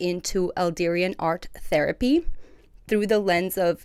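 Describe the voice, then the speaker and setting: Her voice sits at a medium pitch. The woman keeps her intonation fairly even. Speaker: mental health advocacy host. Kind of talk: monologue livestream talk.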